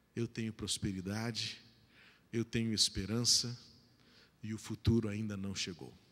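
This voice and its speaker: A man talks fairly slowly at a fairly low pitch, keeping his intonation fairly even. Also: long, frequent pauses. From Brazil. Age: 40s. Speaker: pastor. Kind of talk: sermon. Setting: church. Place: church. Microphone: handheld.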